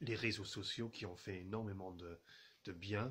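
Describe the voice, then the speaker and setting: A man speaks at a very slow pace. His fairly low pitch stays fairly even. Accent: English. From England. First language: English (speaking French). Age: 30s. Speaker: journalist and radio producer. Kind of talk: video message to viewers. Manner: halting, many fillers and repetitions.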